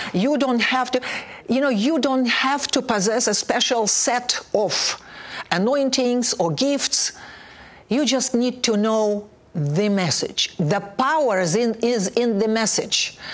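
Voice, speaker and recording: Very slowly and with very even loudness, a woman speaks in a Russian accent at a fairly high pitch with ordinary pitch variation. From Soviet Union (Russia). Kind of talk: testimony.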